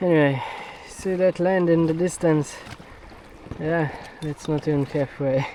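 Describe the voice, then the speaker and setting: Noticeable background noise sits behind a man with a fairly high pitch. He speaks fairly slowly with fairly even intonation and long, frequent pauses. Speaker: outdoor adventure vlogger. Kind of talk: vlog narration. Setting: outdoors, kayaking at sea. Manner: casual, jokey.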